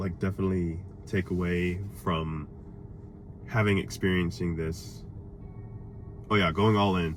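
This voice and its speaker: Music plays in the background and room echo is audible as a man with a very deep, low pitch and ordinary pitch variation talks at a fairly slow pace with long, frequent pauses. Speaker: motivational vlogger. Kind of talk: casual monologue. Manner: stuttering over words; halting.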